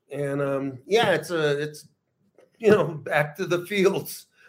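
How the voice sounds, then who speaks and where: A man at a very slow pace with ordinary pitch variation. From US Southwest, Los Angeles and El Paso. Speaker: writer and magazine founder. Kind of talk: casual chat.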